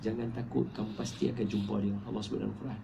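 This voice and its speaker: A dark, mellow tone with vocal fry and audible room echo. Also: man. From Malaysia, Penang. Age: 30s. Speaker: Islamic preacher and author. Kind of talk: book talk to an audience. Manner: casual, conversational.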